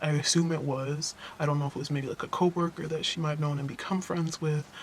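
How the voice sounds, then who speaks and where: With plenty of background noise behind it, the talking races along very quickly. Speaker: vlogger sharing abuse story. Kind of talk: personal testimony vlog. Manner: halting, rambling with fillers.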